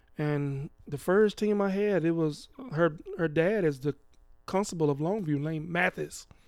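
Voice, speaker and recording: Music plays in the background behind a man with an American accent. He has a fairly high pitch and ordinary pitch variation. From East Texas. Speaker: podcast host's father, retired youth coach. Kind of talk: casual interview.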